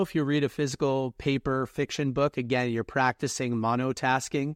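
A man talks at a fairly quick pace and medium pitch in an unremarkable speaking voice. The sound is dry and close with no echo, over a quiet background. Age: 20s. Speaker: author and reading coach. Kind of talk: podcast interview.

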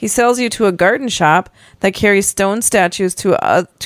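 What we hear is plain reading aloud.

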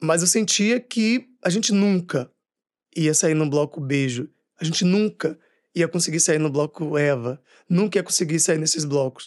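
A man with a normal speaking voice talks at a fairly slow pace, in a fairly high pitch with ordinary pitch variation and very even loudness. The sound is dry and close with no echo, against a quiet background. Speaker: actor and writer. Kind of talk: interview.

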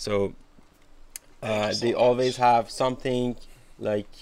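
A man speaks with a Persian accent at a very slow pace. His intonation is monotone and flat. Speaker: podcast host. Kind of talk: interview.

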